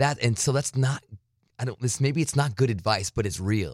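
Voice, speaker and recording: In an American accent, a man speaks at a very fast pace in an animated tone, with a dry, close sound, no echo, and a very clean recording with a silent background. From US-Mexico border, Arizona. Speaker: satellite radio host. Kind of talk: casual interview. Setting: home studio.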